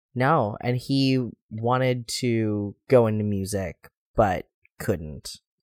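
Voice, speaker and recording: At a very slow pace, a man with an American accent speaks at medium pitch, recorded with a dry, close sound and no echo. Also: ordinary pitch variation. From US Midwest. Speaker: podcast host. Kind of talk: casual chat.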